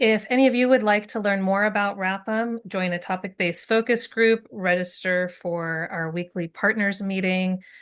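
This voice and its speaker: A woman with an unremarkable speaking voice, medium pitch and fairly even intonation, at a moderate pace with hardly any pauses, over a quiet background. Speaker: webinar moderator. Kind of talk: webinar Q&A and closing.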